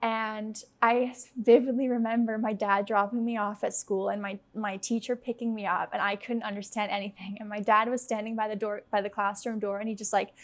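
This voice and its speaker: Here a woman with an American accent and an unremarkable speaking voice talks at a moderate pace and a fairly high pitch. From United States (Dutch-born). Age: 20s. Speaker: startup founder, guest. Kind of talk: casual interview chat.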